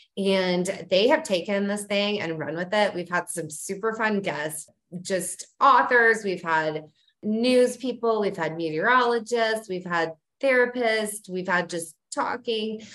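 Speaking at a fairly slow pace, a woman uses an ordinary speaking voice with medium pitch and ordinary variation. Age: 40s. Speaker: parenting website owner. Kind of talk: casual chat. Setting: video call.

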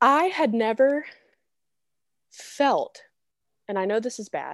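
Loud and high-pitched, a woman speaks with lively intonation. The background is quiet. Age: 20s. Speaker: podcast co-host. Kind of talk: casual chat.

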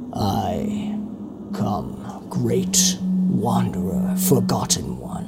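A man in a put-on character voice, speaking very slowly over loud background noise. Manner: eerie.

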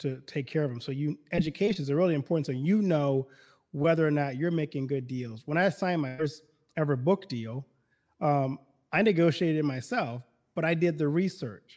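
In a very clean recording with a silent background, a man with a fairly high pitch talks at a fairly quick pace in an ordinary speaking voice with ordinary pitch variation. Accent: American. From US South, Baton Rouge, Louisiana. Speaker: pastor. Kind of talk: casual chat.

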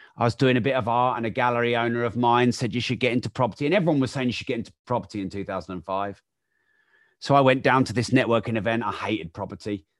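A man with an English accent at a very fast pace, medium pitch, and ordinary pitch variation, against a quiet background. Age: 40s. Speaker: entrepreneur and author. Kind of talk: interview.

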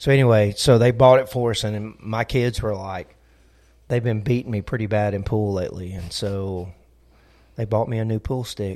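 A man with a Southern US accent speaks at a moderate pace in a fairly low voice. His intonation is fairly even, and the recording is very clean with a silent background. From US South. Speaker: pastor. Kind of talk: casual chat.

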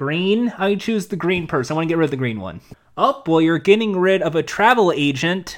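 The man's voice sits high in pitch. He speaks at a fairly quick pace with lively intonation. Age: 30s. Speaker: game show podcast host. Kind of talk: casual podcast chat. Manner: rambling, halting, self-interrupting.

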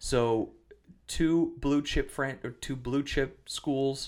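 A man with an Upper Midwest accent speaks at a medium pitch with fairly even intonation. The recording is very clean, with a silent background. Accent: Upper Midwest American. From western Wisconsin, US Upper Midwest. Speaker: podcast host. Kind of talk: casual chat.

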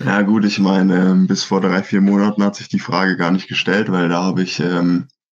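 His pitch is very deep and low. The man speaks at a moderate pace, intonation fairly even. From Germany, Franconia (Schweinfurt). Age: 20s. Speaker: professional triathlete. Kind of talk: casual interview.

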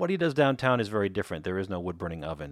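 In a Chicago accent, a man speaks at a fairly low pitch, the sound dry and close with no echo, on a very clean recording with a silent background. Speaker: podcast host and pizza author. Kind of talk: podcast narration.

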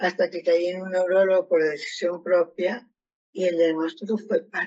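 A woman with a plain, everyday voice, medium in pitch, at a moderate pace and with fairly even intonation. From Argentina. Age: 60s. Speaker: retired educational psychologist, Parkinson's patient. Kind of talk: testimony.

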